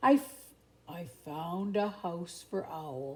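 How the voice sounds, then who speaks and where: A woman in a put-on character voice talks very slowly at a fairly low pitch. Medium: read story. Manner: slow, plodding.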